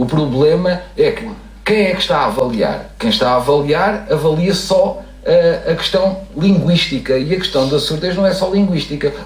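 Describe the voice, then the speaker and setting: A man at a moderate pace with lively intonation, amid noticeable background noise and audible room echo. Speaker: deaf education specialist. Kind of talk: tv panel discussion.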